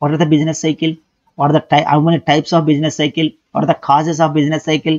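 A man is speaking. The background is quiet. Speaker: economics lecturer. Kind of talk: lecture.

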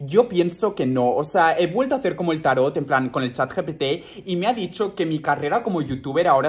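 The speaker sounds animated, with lively intonation. The pace is fairly quick. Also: man. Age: 20s. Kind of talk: casual vlog monologue.

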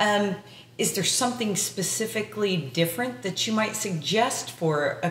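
A woman talks at a moderate pace with lively intonation. Audible room echo and light background noise fill the recording. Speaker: podcast co-host. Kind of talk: casual interview. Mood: calm, conversational. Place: home room.

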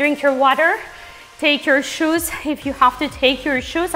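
Faint music plays behind a woman whose high voice shows ordinary pitch variation. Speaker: fitness instructor. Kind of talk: workout instruction and counting. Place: studio.

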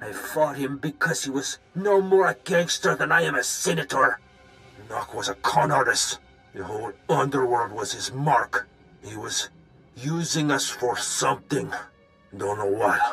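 Over faint music in the background, a man speaks with lively intonation and big swings in loudness. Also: medium pitch for a man, moderate pace. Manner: bitter, ranting.

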